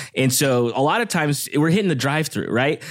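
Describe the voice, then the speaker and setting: On a very clean recording with a silent background, a man talks at a fairly quick pace in a Californian accent. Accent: Californian American. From Southern California, Downey/Long Beach area. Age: 30s. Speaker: podcast guest. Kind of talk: casual chat.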